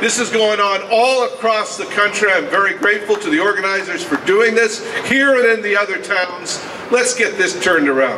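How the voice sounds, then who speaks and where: A man with a high pitch speaks in a raised, projected voice at a fairly quick pace, with ordinary pitch variation and noticeable background noise. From western Canada. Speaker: environmental campaigner. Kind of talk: rally speech. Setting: outdoor rally with crowd. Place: street. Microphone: camera far.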